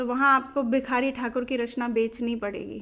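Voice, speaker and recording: A woman's raised, projected voice carries a bright, sharp tone. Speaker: Bhojpuri folk singer. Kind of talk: interview answer.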